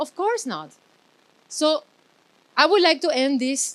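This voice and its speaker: A woman talks loudly in an animated tone. Her intonation is lively. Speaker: event host. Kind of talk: closing speech at live event.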